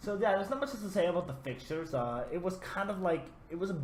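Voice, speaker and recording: A non-native accent at a fairly quick pace, with audible room echo and noticeable background noise. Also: man. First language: not English. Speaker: gaming YouTuber. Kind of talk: gameplay commentary. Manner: casual, hesitant with fillers.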